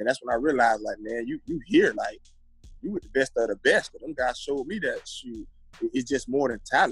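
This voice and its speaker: A man talks at a fairly quick pace with big swings in loudness, faint music behind him, and a dry sound that has no echo. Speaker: guest. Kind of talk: interview answer. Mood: reflective, warm. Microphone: video call.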